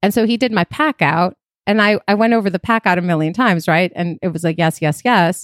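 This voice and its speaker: Heard in a very clean, dry, close recording with a silent background and no echo, a woman with an American accent uses an ordinary speaking voice at a fairly quick pace, medium in pitch with ordinary pitch variation and very even loudness. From Chicago, US Midwest. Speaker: private chef and caterer. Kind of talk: casual chat.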